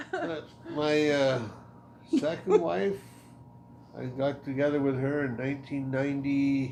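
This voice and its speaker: A man with a fairly high voice speaks fairly slowly, with ordinary pitch variation and long, frequent pauses. Audible room echo and noticeable background noise are present. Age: 60s. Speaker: podcast guest. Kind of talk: casual chat.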